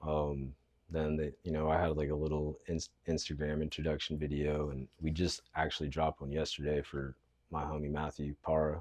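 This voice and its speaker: Using a monotone, flat intonation, a man with an American accent speaks at a moderate pace in a very deep, low pitch. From Southern California. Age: 30s. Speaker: professional skateboarder. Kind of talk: casual podcast interview. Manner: casual, slangy with frequent fillers.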